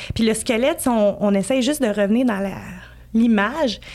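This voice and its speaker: A woman in a Quebec accent, fairly high in pitch, with fairly even intonation and a moderate pace. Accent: Québécois French. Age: 30s. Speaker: emotional decoding practitioner, former entrepreneur. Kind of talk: podcast interview.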